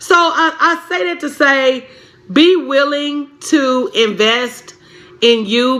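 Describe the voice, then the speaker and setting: A woman with an American accent speaks in an animated tone at a high pitch, with noticeable background noise behind her. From Tennessee, Pulaski. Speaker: business coach. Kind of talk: live stream chat.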